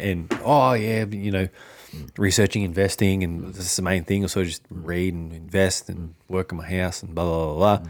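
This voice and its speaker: A man talks at a fairly quick pace with an Australian accent. His pitch is very deep and low. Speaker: finance podcast co-host. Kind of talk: casual chat.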